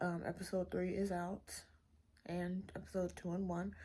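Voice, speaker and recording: A woman's somewhat breathy voice, medium in pitch, at a moderate pace. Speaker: book vlogger. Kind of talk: casual vlog talk. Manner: casual, hesitant with many fillers.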